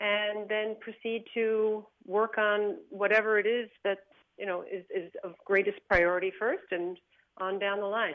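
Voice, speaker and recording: A woman with a plain, everyday voice speaks at a fairly slow pace, her medium pitch carried by fairly even intonation. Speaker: accent coach. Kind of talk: interview.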